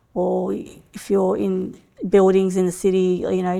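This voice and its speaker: Very clean, silent-background recording of a woman with a dark, mellow tone, fairly low pitch, ordinary pitch variation and a fairly slow pace. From Australia. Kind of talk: interview answer.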